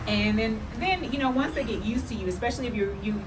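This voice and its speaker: Noticeable background noise and audible room echo are present. The woman talking has an American accent. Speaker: travel vlogger. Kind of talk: casual chat.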